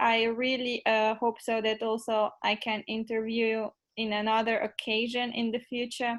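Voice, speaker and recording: A woman's fairly high-pitched voice with a Macedonian accent. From North Macedonia. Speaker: social media intern, interviewer. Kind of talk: interview.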